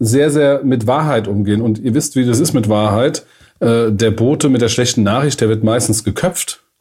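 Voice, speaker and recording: Ordinary pitch variation marks this man's dark, mellow tone as he talks at a moderate pace. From Germany, Frankfurt area. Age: 40s. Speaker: management consultant. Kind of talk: casual podcast chat.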